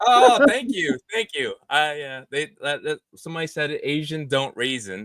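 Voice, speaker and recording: Here a man speaks at a fairly slow pace. His fairly high pitch moves in very wide swings. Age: 40s. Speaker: gecko breeder. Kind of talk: casual chat. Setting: live stream.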